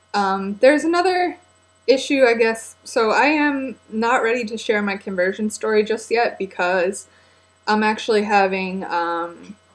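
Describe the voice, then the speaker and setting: With lively intonation, a woman speaks at a fairly high pitch and a fairly slow pace. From United States. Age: 20s. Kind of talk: casual talk to camera. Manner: hesitant, many filler words.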